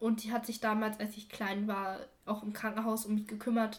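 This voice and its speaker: A woman talks at a moderate pace in a fairly high, somewhat breathy voice. Her intonation is monotone and flat. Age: 20s. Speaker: adoptee sharing her story. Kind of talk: interview.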